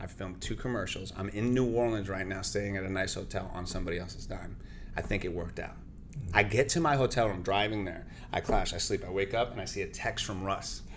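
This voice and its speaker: A man talks at a very fast pace, his pitch fairly low. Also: ordinary pitch variation. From Central Florida, Cuban-Peruvian family. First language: Spanish. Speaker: radio host and actor. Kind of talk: casual interview chat. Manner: animated.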